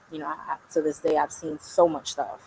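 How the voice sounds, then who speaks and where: In a New York accent, a woman talks at a fairly quick pace. Her pitch is very deep and low, and her tone is bright and sharp. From New York, Brooklyn. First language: Spanish. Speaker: artist and community leader. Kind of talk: interview conversation.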